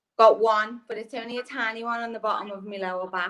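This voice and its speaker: Speaking at a very fast pace with a Liverpool accent, this voice keeps a fairly even intonation. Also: woman. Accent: Scouse. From Liverpool, England. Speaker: dating show contestant. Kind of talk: casual chat.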